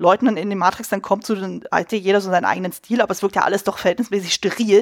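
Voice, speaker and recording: Against a silent background in a very clean recording, a woman speaks very fast at a medium pitch. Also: dry, close sound with no echo. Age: 30s. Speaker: costume designer and film podcaster. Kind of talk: casual chat.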